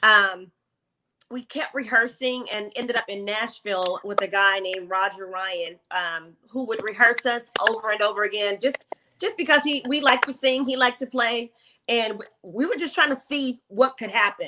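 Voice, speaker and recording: A woman speaks at a moderate pace with ordinary pitch variation and a fairly high pitch. Noticeable background noise sits behind her. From New Orleans. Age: 40s. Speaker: gospel singer. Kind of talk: interview. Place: home room.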